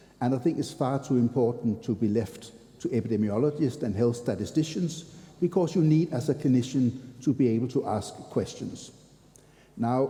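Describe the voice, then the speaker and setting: A man speaks in a dark, mellow tone that is somewhat breathy. His pace is moderate, and his pitch varies in an ordinary way. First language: not English. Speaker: physician lecturer. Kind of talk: lecture.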